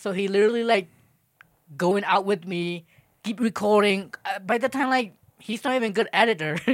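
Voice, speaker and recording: Speaking at a fairly quick pace, a man with a high pitch and ordinary pitch variation leaves long, frequent pauses. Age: 20s. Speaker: podcast guest, friend of host. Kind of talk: casual chat. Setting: home bedroom.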